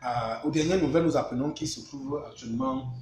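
With a Cameroonian accent, a man talks in a fairly even tone over light background noise, his voice carrying an audible room echo. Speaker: live stream host. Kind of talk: live news discussion, interview. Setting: live online video stream. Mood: serious, informative. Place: home room. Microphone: phone near.

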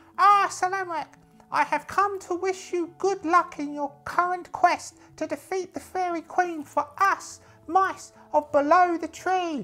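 Someone speaks in a put-on character voice at a fairly slow pace. Faint music plays in the background. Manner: earnest, deferential.

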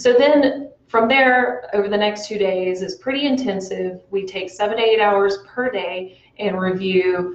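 Audible room echo on a woman's speech, with ordinary pitch variation. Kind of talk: interview answer. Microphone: lapel.

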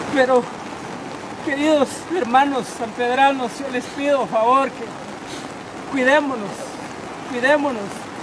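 Against noticeable background noise, a man with an extremely high pitch and fairly even intonation speaks with long, frequent pauses. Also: fairly slow pace, big swings in loudness. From Guatemala, Alta Verapaz. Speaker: town mayor. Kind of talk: emergency appeal. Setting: outdoors. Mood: urgent, pleading. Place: rain. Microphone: phone near.

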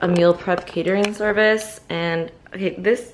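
A woman's fairly even intonation is heard with noticeable background noise behind it. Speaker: student vlogger. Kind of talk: casual vlog chat. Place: home room. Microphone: phone near.

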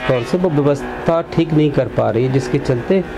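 A man speaks fairly slowly while noticeable noise runs in the background. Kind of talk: interview answer. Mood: earnest complaint about civic problems. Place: office. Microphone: handheld.

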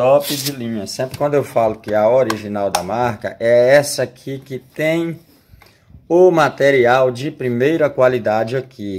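Here a man talks at medium pitch. His pitch varies in an ordinary way. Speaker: rural YouTube channel owner selling farm equipment. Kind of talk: direct-to-camera sales pitch for a discounted brush cutter. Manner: pushy, repetitive pitchman hammering 'top de linha' and deadline; folksy, chatty, with tag questions like 'tá certo?'. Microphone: phone near.

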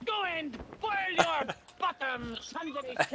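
A put-on character voice in a French accent, high-pitched and fairly slow, over clear background noise. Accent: outrageous French. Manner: mocking, silly.

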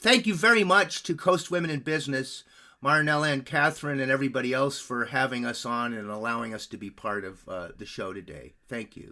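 With a bright, sharp tone, a man talks at a fairly quick pace, his pitch swinging very widely and his loudness shifting a lot. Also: medium pitch for a man. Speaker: podcast producer and improv coach. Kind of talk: webinar presentation. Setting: video call.

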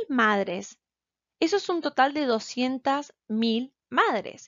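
A woman speaks at a very slow pace with a high pitch. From Argentina. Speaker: graduate student. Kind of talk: presentation. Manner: halting.

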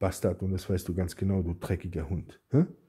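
Against a quiet background, a man speaks at a moderate pace in a somewhat breathy voice with a dark, mellow tone. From Germany. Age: 40s. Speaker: YouTuber. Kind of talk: angry response video rant. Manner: agitated, insulting; repetitive, stammering restarts. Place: home room. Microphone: phone near.

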